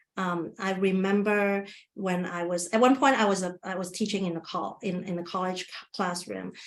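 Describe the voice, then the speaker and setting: With fairly even intonation, a woman talks at a moderate pace in a medium pitch. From Asia, immigrant to US at 19. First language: not English. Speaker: webinar presenter, community engagement worker. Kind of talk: webinar presentation with Q&A. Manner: halting, many restarts.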